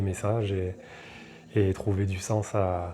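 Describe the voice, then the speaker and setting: The man's voice comes across somewhat breathy. Its tone is dark and mellow. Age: 30s. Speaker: reggae singer. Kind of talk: interview. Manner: casual, hesitant with fillers.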